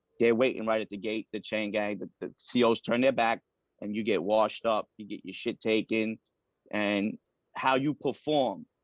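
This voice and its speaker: With a New York accent, a man talks at a moderate pace and medium pitch, his intonation fairly even but his loudness swinging widely, in a dry, close sound with no echo against a quiet background. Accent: New York (Queens). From New York City (Queens). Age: 40s. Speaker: former prisoner. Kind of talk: interview.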